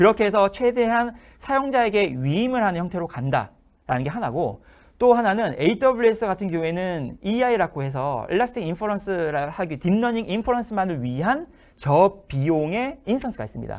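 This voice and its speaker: Talking at a fairly quick pace, a man with a high voice moves through very wide pitch swings. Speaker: AI technology speaker. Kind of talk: lecture. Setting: webinar. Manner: fast.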